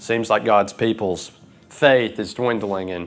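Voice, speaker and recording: A man speaks at a fairly slow pace with a Southern US accent, his fairly low voice moving with ordinary pitch variation. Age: 20s. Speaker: preacher. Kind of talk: sermon.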